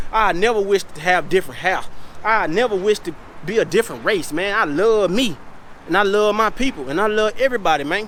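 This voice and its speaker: Loud and passionate, a man speaks fairly quickly at a high pitch with ordinary pitch variation. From US South, South Carolina. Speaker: vlogger. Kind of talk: casual vlog monologue. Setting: at home. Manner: loud, passionate; unscripted, rambling.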